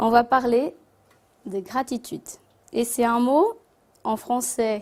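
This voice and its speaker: Her voice is high in pitch. This woman's tone is dark and mellow. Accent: non-native. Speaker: spiritist speaker. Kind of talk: talk to an audience. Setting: Christmas gathering with audience. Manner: halting.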